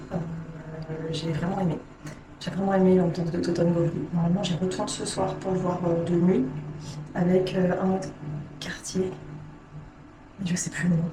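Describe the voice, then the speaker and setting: A woman with a fairly low pitch speaks at a moderate pace in a monotone, flat intonation, with long, frequent pauses. Audible room echo and noticeable background noise surround her. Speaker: travel vlogger. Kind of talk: casual vlog. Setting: capsule hotel room. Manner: hesitant, many fillers; whispering.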